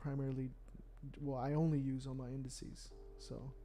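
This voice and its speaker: Soft-spoken and dark, mellow in tone, a man with an American accent talks at a moderate pace in a fairly high pitch with monotone, flat intonation and audible room echo. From Texas (Dallas). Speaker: forex trader streaming live. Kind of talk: live stream Q&A. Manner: casual. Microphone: quiet, volume all the way up.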